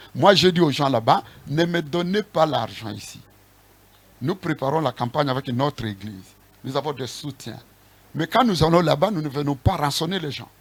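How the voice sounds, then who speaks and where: Somewhat breathy and fairly high-pitched, a man talks with long, frequent pauses. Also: lively intonation, moderate pace. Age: 60s. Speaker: apostle, church leader. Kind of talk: interview.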